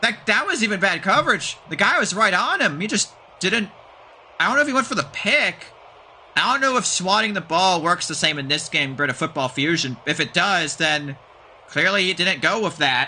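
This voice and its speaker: Pitched high, a man talks at a fairly quick pace with very wide pitch swings. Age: 20s. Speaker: game streamer and commentator. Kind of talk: live commentary. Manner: casual, halting.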